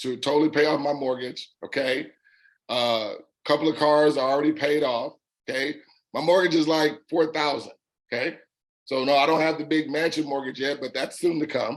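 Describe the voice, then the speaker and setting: A fairly high-pitched male voice with monotone, flat intonation. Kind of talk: testimony.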